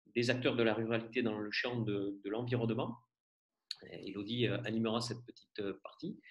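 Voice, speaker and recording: A man talks in a medium pitch with monotone, flat intonation. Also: moderate pace. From rural France. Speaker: event moderator. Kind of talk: introduction speech. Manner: hesitant, many fillers.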